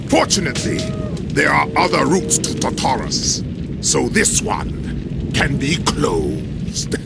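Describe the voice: A man in a put-on character voice speaks slowly at a fairly high pitch with vocal fry and very wide pitch swings, over loud music in the background.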